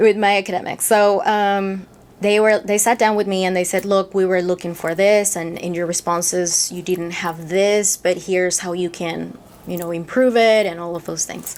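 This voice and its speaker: A woman with a Peruvian accent speaks at a moderate pace. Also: medium pitch for a woman, fairly even intonation. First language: Spanish. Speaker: lobbyist. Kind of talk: interview.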